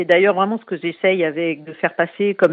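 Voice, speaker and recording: A woman's voice sits at a fairly low pitch, with fairly even intonation. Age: 40s. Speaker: cancer survivor and association founder. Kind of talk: interview. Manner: hesitant, many fillers.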